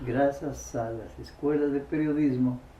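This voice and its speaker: Audible room echo surrounds a man talking at a very slow pace. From Ecuador, Loja. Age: 80s+. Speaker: local elder and oral historian. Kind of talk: interview testimony. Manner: halting.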